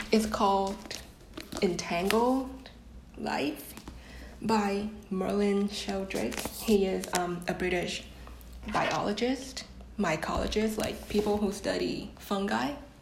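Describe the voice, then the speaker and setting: A woman speaks at a very slow pace, with long, frequent pauses and ordinary pitch variation. Noticeable background noise runs underneath. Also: medium pitch for a woman. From Vietnam. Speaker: podcast guest, marketing intern. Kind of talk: casual chat. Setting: video call.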